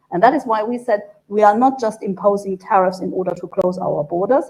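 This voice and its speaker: At a moderate pace, a woman speaks in a German accent with a dark, mellow tone. Her pitch is medium, with ordinary variation. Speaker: EU trade official. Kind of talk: panel discussion.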